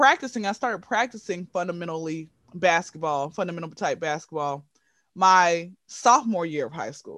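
On a very clean recording with a silent background, the speaker has an animated tone and keeps a moderate pace. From Atlanta, Georgia. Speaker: aspiring comedian and content creator. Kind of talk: casual chat.

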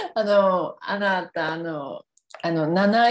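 A woman talks very slowly, her pitch at a medium level. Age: 30s. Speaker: podcast host. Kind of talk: casual chat. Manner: animated, laughing often.

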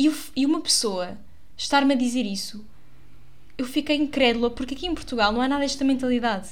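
The speech moves at a fairly quick pace, broken by long, frequent pauses, with ordinary pitch variation. Audible room echo surrounds it. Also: woman, high pitch for a woman. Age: 20s. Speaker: actress and podcaster. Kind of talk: casual monologue. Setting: home recording in her bedroom. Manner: chatty, with fillers and laughs.

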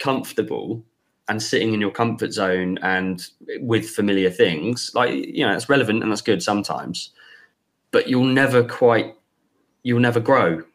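A man's ordinary speaking voice at medium pitch, with ordinary pitch variation and a moderate pace. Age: 20s. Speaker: business school founder. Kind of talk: interview.

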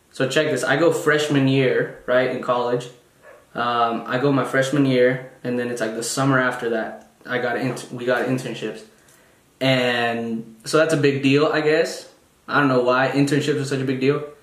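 A man talks at a moderate pace with a medium pitch and fairly even intonation. There's audible room echo and noticeable background noise. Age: 20s. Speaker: podcast host, university student. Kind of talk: casual monologue. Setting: solo recording on video.

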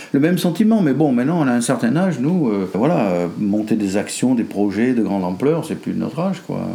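Amid noticeable background noise and audible room echo, a man talks at a fairly quick pace. His medium-pitched voice makes very wide pitch swings. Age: 70s. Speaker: grandfather of the host. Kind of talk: casual family conversation. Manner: halting, repeats words.

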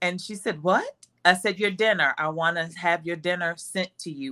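A woman talks at a moderate pace in a bright, sharp tone. Her pitch variation is ordinary, and the sound is dry and close with no echo. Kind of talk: casual chat.

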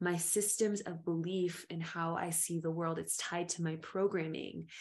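Here is a woman with a normal speaking voice. Her intonation is fairly even, and her pitch is medium. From US South, Memphis-born, raised in Appalachia. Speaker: storyteller and flower essence practitioner. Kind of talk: casual chat.

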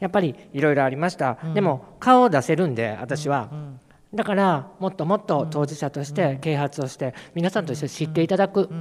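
Using lively intonation at a fairly quick pace, a man with a plain, everyday voice speaks at a fairly high pitch. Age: 50s. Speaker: city council member and LGBTQ advocate. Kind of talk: panel discussion. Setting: public hall with audience.

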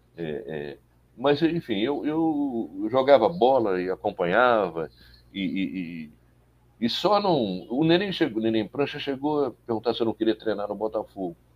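This man's voice sits at a medium pitch and moves at a fairly slow pace. His pitch swings very widely. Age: 70s. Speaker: journalist and political activist. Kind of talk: interview. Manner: halting.

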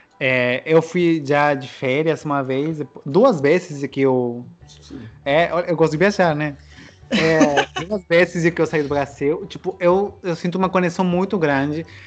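The man talks fairly slowly, his fairly high voice showing ordinary pitch variation. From Peru, Trujillo. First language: Spanish (speaking Portuguese). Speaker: interviewee living abroad. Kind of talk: casual chat. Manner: halting.

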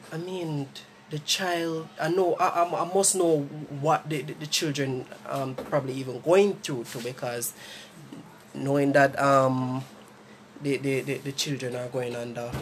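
A man speaks with a Jamaican accent at a fairly slow pace, with ordinary pitch variation. Long pauses come often. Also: fairly high pitch for a man. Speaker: podcast host. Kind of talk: casual chat.

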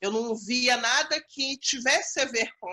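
A woman's high-pitched voice at a fairly slow pace, dry and close with no echo. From Rio de Janeiro state, Brazil. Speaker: cultural organizer and school arts educator. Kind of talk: interview. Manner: halting, with frequent fillers.

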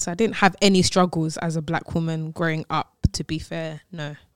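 In a London accent, a woman with a fairly low voice speaks at a moderate pace in a dry, close recording with no echo. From London, England. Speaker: singer and songwriter. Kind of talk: casual radio interview. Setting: radio studio. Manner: cheerful and laughing.

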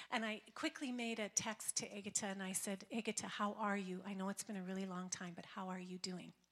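An unremarkable speaking voice talks at a fairly quick pace. The intonation stays fairly even. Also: woman, medium pitch for a woman. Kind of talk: testimony. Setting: church.

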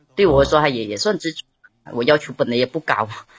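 A woman speaks with lively intonation. The sound is dry and close with no echo, and the background is quiet. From Hainan, Haikou. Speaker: caller. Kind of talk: casual chat. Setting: live-stream call-in.

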